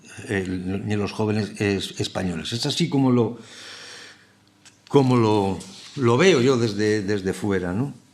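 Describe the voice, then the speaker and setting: A man's fairly low voice with ordinary pitch variation, at a fairly slow pace with long, frequent pauses, in audible room echo. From Basque Country, San Sebastián. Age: middle-aged. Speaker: TV scriptwriter and lecturer. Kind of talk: lecture. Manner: halting, many repetitions and fillers.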